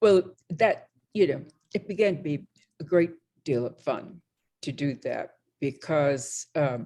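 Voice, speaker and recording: A woman's dark, mellow tone at a fairly slow pace, broken by long, frequent pauses. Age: 80s. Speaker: visual artist. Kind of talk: interview. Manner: halting, many repeated words.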